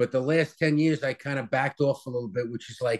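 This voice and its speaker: Against a quiet background, a man with an American accent speaks at a medium pitch and moderate pace. His pitch varies in an ordinary way. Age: 60s. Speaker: chef and restaurant owner. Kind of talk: interview. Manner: casual, hesitant with many fillers.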